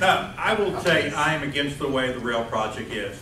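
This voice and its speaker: Amid noticeable background noise and audible room echo, a man speaks at a fairly high pitch with lively intonation. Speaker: city council candidate. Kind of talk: candidate forum statement. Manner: loud; animated.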